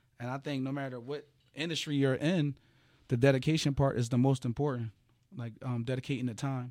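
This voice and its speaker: A man with a medium pitch and fairly even intonation is heard on a very clean recording with a silent background. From Philadelphia. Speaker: education business owner. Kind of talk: interview.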